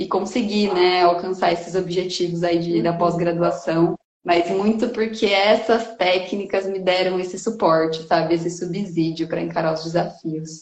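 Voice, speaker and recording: With a normal speaking voice, a woman talks at a medium pitch and a fairly slow pace, her intonation fairly even. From interior of São Paulo state, Brazil (Bauru area, rural). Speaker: environmental educator and researcher. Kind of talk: casual interview chat. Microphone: connection stuttering at times.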